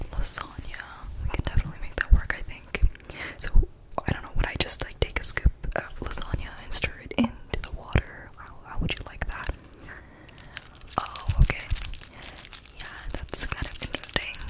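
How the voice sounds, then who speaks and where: A woman whispers at a moderate pace, her speech broken by long pauses that come often. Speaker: ASMR creator. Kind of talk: ASMR roleplay, casual talk to camera. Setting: muffled as if through a fishbowl. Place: home room. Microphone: studio mic.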